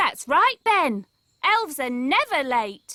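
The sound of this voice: A female-sounding cartoonish character voice, high-pitched with very wide pitch swings. The pace is fairly slow.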